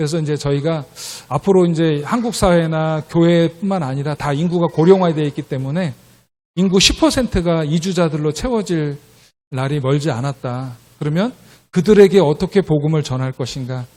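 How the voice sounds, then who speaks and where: A man talks at a moderate pace with fairly high pitch and ordinary pitch variation on a very clean recording with a silent background. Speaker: missionary. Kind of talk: missionary report in church service. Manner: hesitant with frequent fillers.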